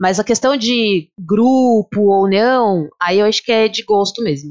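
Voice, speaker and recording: A woman at a very slow pace with ordinary pitch variation, in a very clean recording with a silent background and a dry, close sound with no echo. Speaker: physical education teacher. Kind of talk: casual chat. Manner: animated.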